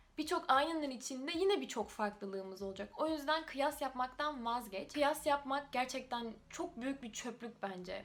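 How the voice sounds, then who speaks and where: Lively intonation with hardly any pauses over noticeable background noise. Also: woman, high pitch for a woman, moderate pace. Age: 20s. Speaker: YouTuber. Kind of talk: casual talk to camera.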